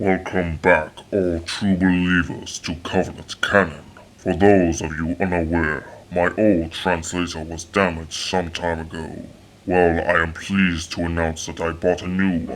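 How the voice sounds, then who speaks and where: A man puts on a character voice at a very deep, low pitch. His intonation is monotone and flat. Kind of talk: lore history narration. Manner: formal, solemn.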